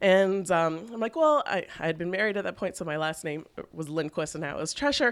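In a very clean recording with a silent background, an unremarkable speaking voice with a Canadian accent moves at a fairly quick pace with lively intonation. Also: woman, fairly low pitch for a woman. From Canada, Toronto. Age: 30s. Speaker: fashion blogger and plus-size store founder. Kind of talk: casual interview chat.

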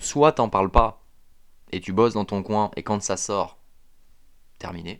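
Delivery is at a fairly slow pace. The background is quiet. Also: man. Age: 30s. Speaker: podcast host, fitness coach. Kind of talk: solo motivational monologue. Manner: hesitant, many fillers.

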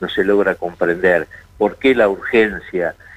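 Male speech at a moderate pace, with noticeable background noise behind it. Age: 60s. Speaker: judge. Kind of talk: radio interview.

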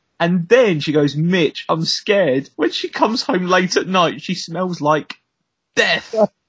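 Speaking at a fairly slow pace with a Southeast English accent, the man has a high pitch and ordinary pitch variation. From Southeast England. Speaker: podcast co-host. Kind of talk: casual chat.

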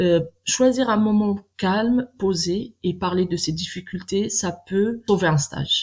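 Very slowly, a woman of medium pitch speaks in a somewhat breathy voice with ordinary pitch variation, on a very clean recording with a silent background. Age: 40s. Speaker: nurse. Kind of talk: interview. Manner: halting, many fillers.

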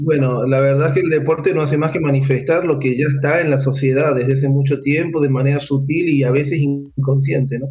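A man's fairly high voice, flat and monotone, at a fairly quick pace and very even loudness, with music in the background. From Argentina, Córdoba. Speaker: sports coach and conference speaker. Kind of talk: radio interview.

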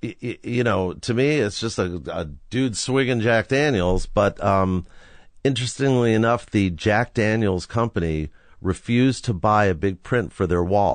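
A man speaks in a plain, everyday voice at a fairly slow pace. His pitch is fairly low with ordinary variation, and the background is quiet. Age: 60s. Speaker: rock photographer. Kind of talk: casual interview, storytelling. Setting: in garage studio.

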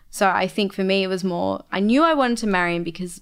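A woman at a medium pitch with an Australian accent, at a fairly quick pace. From Australia, Melbourne. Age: 20s. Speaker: college director. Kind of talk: casual chat.

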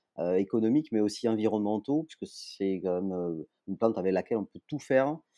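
Dry and close with no echo, a man's dark, mellow voice runs fairly low in pitch at a fairly quick pace with ordinary pitch variation. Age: 40s. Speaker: entrepreneur. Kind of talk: interview. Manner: hesitant, many fillers.

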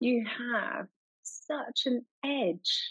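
Here a woman speaks in an enthusiastic tone at a fairly high pitch. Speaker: podcast co-host. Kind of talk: casual interview chat.

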